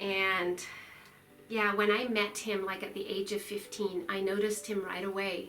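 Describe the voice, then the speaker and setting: A woman with a slight non-native accent at a moderate pace and medium pitch, with audible room echo and music in the background. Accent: slight foreign accent, self-assessed. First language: Swiss German dialect. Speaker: lifestyle vlogger. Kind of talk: casual chat to camera.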